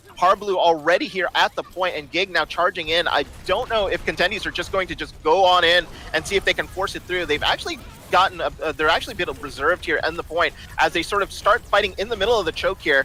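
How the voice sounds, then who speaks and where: A man talks at a very fast pace in a high pitch with ordinary pitch variation. Noticeable background noise is present. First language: not English. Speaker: esports caster. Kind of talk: live commentary. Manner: animated.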